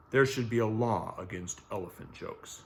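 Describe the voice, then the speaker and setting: A man's put-on character voice at a medium pitch. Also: moderate pace. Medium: read story. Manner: gentle.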